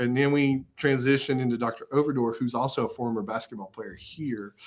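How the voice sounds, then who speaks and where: At a moderate pace, a man speaks in an East Tennessee accent. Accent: East Tennessee Southern US. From Upper East Tennessee. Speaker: college athletics director. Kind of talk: interview. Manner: frequent fillers and repetitions.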